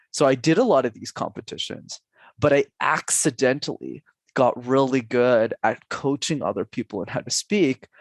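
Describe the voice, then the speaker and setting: Heard dry and close with no echo on a very clean recording with a silent background, a man uses a normal speaking voice at a fairly high pitch with ordinary pitch variation. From Canada, Montreal. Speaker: public speaking coach. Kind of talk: podcast interview.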